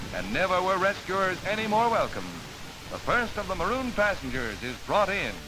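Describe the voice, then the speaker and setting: A man speaks at a high pitch in a dramatic tone with ordinary pitch variation. Music plays in the background. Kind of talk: newsreel narration. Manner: dramatic, fast.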